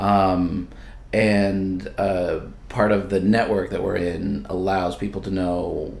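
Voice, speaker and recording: A fairly slow pace with audible room echo. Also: man. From Lebanon, raised in US from age seven. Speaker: small business owner. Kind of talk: podcast interview.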